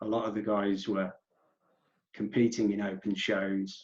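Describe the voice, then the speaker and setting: With an English Midlands accent, a man speaks in a fairly low pitch. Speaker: natural bodybuilder. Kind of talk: podcast interview.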